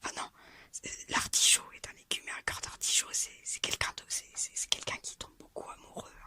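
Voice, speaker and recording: Noticeable background noise runs under this clip. In it, a woman whispers. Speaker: ASMR content creator. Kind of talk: casual talk to camera. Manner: whispered, soft-spoken.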